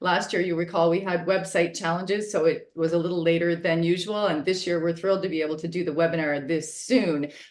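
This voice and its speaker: A woman's fairly low-pitched voice at a very fast pace, with fairly even intonation. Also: hardly any pauses. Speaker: fire safety public education director. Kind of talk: webinar presentation. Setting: video call.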